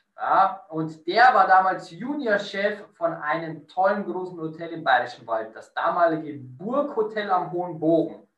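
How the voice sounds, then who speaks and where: Audible room echo surrounds a man speaking at a very slow pace. His pitch is high. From Lower Bavaria, Bavarian Forest. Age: 30s. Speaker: hotel director. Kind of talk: interview.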